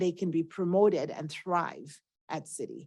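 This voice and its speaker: A woman with a Nigerian accent speaks at a medium pitch. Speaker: banking executive. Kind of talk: interview. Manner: fluent, conversational.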